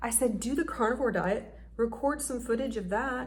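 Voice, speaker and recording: Audible room echo surrounds a woman's voice with vocal fry. Her pitch is fairly high and her intonation fairly even. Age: 40s. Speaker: YouTuber. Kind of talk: casual vlog talk to camera.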